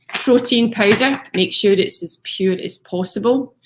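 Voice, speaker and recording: Ordinary pitch variation in a somewhat breathy female voice. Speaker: fitness coach. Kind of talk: live stream talk.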